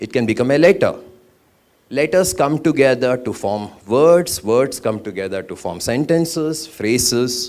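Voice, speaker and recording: Here a man talks with a Karnataka accent. His pitch swings very wide. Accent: Indian English (Kannada). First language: Kannada. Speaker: architect and poet. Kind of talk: conference talk.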